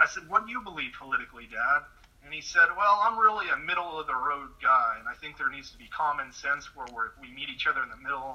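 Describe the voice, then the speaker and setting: Over noticeable background noise, a man speaks very fast at a high pitch, with lively intonation and big swings in loudness. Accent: West Coast American. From California, near Sacramento. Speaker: political commentator. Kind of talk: interview. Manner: soft-spoken. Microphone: too quiet.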